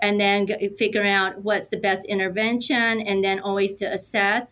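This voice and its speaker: A woman speaks at medium pitch in an unremarkable speaking voice. The recording is very clean, with a silent background. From United States, moved from Korea as a young child. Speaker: nurse and health system technology executive. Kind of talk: podcast interview.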